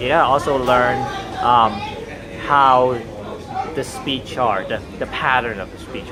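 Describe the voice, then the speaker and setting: Over music in the background and audible room echo, a man speaks at medium pitch. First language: Chinese (Cantonese or Mandarin). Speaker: language-learning vlogger. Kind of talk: casual monologue. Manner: hesitant, with fillers.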